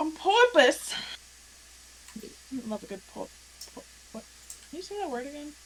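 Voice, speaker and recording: A woman with an American accent and a high pitch speaks at a moderate pace, with very wide pitch swings, big swings in loudness and long, frequent pauses. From New Jersey. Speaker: tabletop game player. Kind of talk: casual chat.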